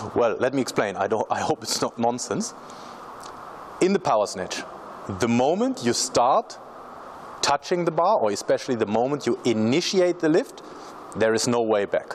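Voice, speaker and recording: Amid noticeable background noise, a man at a medium pitch speaks at a moderate pace with very wide pitch swings and long, frequent pauses. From Germany. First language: German. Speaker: strength coach. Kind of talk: tutorial.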